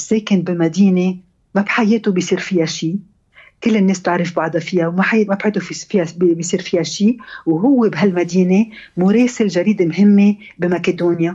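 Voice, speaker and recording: Her voice is somewhat breathy and sits at a medium pitch, with fairly even intonation, as this woman talks at a moderate pace. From Lebanon, Beirut. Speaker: novelist and architect. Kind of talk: radio interview.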